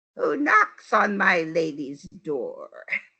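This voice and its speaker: A female-sounding, put-on character voice comes through at a medium pitch for a woman. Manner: groaning, weak.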